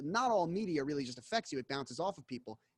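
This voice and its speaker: With a US Northeastern accent and lively intonation, a man speaks in a dry, close sound with no echo on a very clean recording with a silent background. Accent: US Northeast. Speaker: investigative journalist. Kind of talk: casual interview.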